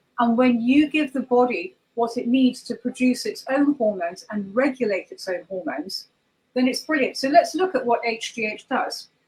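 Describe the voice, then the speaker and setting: In a southern English accent, a woman speaks at a moderate pace with a high pitch and lively intonation. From southwest England. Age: 50s. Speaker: holistic practitioner. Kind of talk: interview.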